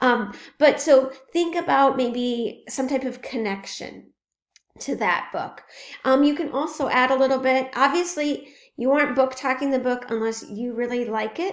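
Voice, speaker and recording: A woman speaks at a high pitch and a moderate pace with ordinary pitch variation. Room echo is audible. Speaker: professor. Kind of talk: lecture. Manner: casual with frequent fillers.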